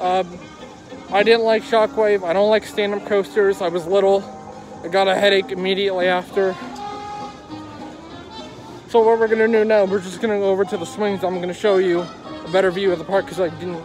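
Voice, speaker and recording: A man speaks at a fairly quick pace, high in pitch with fairly even intonation. The sound is dry with no echo, and music plays in the background. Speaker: vlogger. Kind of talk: casual vlog chat. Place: street. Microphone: phone near.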